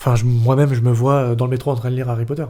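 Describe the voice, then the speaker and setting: A man speaks very fast in a flat monotone, his medium-pitched voice somewhat breathy. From Paris northern suburbs. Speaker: dancer and actor. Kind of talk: podcast interview.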